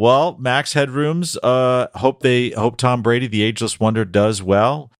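This man talks in a normal speaking voice at a moderate pace with ordinary pitch variation, the sound dry and close with no echo. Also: very clean recording, silent background. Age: 50s. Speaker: fantasy baseball podcast host. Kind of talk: casual chat.

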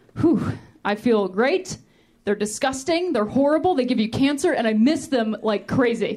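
At a moderate pace, a woman speaks in a high pitch with an animated tone, lively intonation and very even loudness. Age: 30s. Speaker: comedian. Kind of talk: stand-up. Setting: stage with audience.

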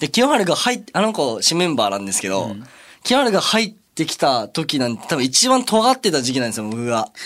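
Pitch swinging very widely, this man talks fairly quickly in a fairly high register. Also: big swings in loudness, very clean recording, silent background. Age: 20s. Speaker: idol group member. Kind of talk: casual chat.

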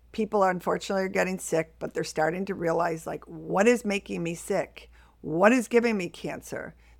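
On a very clean recording with a silent background, a woman with an American accent talks at a fairly quick pace, her medium-pitched voice showing vocal fry and ordinary pitch variation. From US Northeast, Buffalo, New York. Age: 60s. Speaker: household toxins specialist. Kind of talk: interview.

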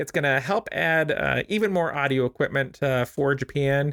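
On a very clean recording with a silent background and a dry, close sound with no echo, a man has a plain, everyday voice at a fairly high pitch with ordinary pitch variation. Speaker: podcast host. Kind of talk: interview.

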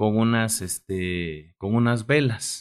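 On a very clean recording with a silent background, a man's voice sounds dry and close with no echo. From Mexico, Oaxaca. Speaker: radio co-host. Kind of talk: casual chat.

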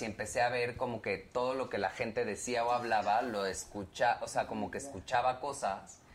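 This is a man with a normal speaking voice. He sits at a medium pitch and keeps a moderate pace. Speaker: pop band member. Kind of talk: casual chat.

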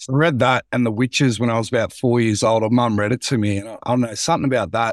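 On a very clean recording with a silent background, a man with an Australian accent talks at a fairly quick pace with fairly even intonation, the sound dry and close with no echo. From Australia, central Victoria. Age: 30s. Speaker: public speaker, former teacher. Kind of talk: casual interview.

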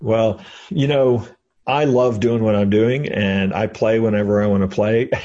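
An unremarkable speaking voice from a man, medium in pitch, fairly slow, very even in loudness and fairly even in intonation. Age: 50s. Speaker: author and entrepreneur. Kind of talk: interview.

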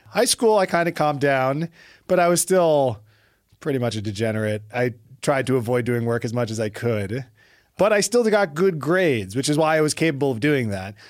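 Speaking with an American accent, a man talks at a fairly quick pace with a fairly high pitch and very wide pitch swings. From New York City (Brooklyn). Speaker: physician. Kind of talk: casual interview chat. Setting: studio. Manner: loud.

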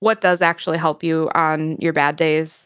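On a very clean recording with a silent background, a woman speaks with an Upper Midwest accent. She keeps a moderate pace. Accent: Upper Midwest American. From US Midwest, Wisconsin. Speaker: streamer and content creator. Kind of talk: casual interview chat.

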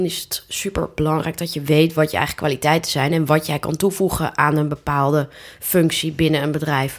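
A woman talks at a moderate pace with a fairly low pitch. It is a plain, everyday voice. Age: 30s. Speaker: job platform founder, freelancer. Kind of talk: casual interview chat. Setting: home living room turned studio.

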